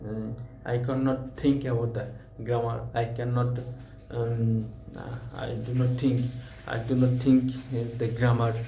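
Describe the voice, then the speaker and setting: A man of medium pitch with monotone, flat intonation, at a fairly slow pace with long, frequent pauses, amid audible room echo and noticeable background noise. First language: Bengali. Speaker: English learner vlogger. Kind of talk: casual speaking practice monologue. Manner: halting, many fillers and repetitions.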